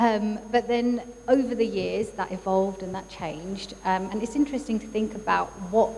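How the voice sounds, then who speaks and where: Noticeable background noise runs under this recording. A woman speaks at a moderate pace with fairly even intonation. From England. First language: Urdu. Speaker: psychologist and neurodiversity coach. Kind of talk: talk at a workshop. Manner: many fillers and hesitations.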